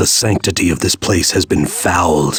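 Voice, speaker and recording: A man in a put-on character voice. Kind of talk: solemn game hero narration. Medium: voice reel. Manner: stoic, grave.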